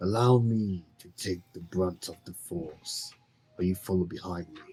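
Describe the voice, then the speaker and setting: Putting on a character voice, a man speaks at a moderate pace with a very deep, low pitch. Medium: actual play.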